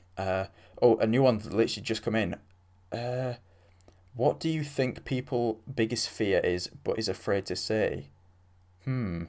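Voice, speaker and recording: At a moderate pace, a man with a medium pitch speaks with ordinary pitch variation and long, frequent pauses. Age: young. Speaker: solo podcast host. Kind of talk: casual solo talk answering listener questions. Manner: halting, many fillers.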